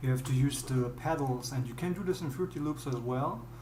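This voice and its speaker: Someone with a German accent talks at a moderate pace over light background noise. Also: man. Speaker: music producer. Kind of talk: tutorial. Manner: halting. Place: home room.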